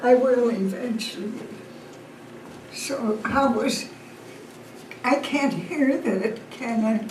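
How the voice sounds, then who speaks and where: Through noticeable background noise and audible room echo, a woman with a high pitch and ordinary pitch variation speaks at a very slow pace, leaving long, frequent pauses. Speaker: family historian. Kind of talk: family history talk.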